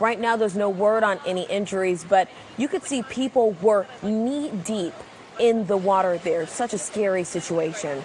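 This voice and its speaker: Over noticeable background noise, a woman talks at a moderate pace and medium pitch. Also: ordinary pitch variation. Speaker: TV news anchor and reporter. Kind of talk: local TV news anchor delivery. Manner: conversational, poised, clear.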